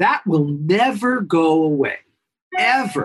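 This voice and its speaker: Speaking in a New York accent with lively intonation, a man uses a high pitch in a dry, close sound with no echo. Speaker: pediatrician. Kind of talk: interview.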